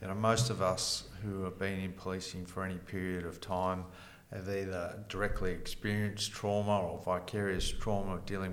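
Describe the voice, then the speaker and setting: In an Australian accent, the speaker talks at a moderate pace in a flat monotone, with audible room echo. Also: man. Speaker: retired police detective, podcast host. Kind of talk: interview.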